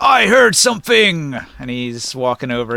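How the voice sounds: The clip features a natural reading voice.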